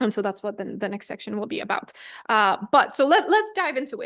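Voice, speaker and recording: Against a quiet background, a woman talks with very wide pitch swings. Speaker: lecturer. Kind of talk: lecture. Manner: fast.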